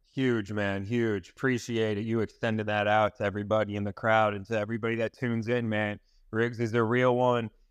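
Against a quiet background, a man with an ordinary speaking voice talks at a fairly quick pace and fairly low pitch. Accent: American. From US Northeast, Long Island. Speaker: live audio chat host. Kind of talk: casual chat. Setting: live audio chat room. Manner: excitable.

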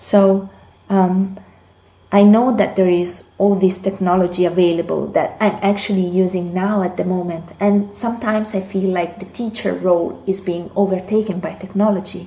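A woman speaks with an Italian accent. Her intonation is monotone and flat. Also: medium pitch for a woman, moderate pace. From Italy. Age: 20s. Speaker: language student, listener. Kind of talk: recorded listener question.

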